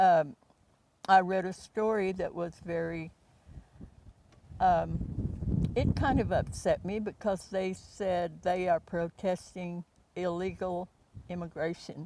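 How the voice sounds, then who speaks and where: A woman with an American accent speaks very slowly in a dark, mellow tone, her fairly even intonation broken by long, frequent pauses. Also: medium pitch for a woman. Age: 80s+. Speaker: local resident, former newspaper reporter. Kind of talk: interview.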